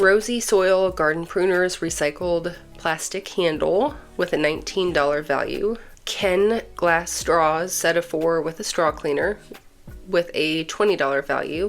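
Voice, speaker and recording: A woman's fairly low voice at a fairly slow pace with ordinary pitch variation, music in the background. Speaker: nursing student. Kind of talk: casual unboxing talk to camera.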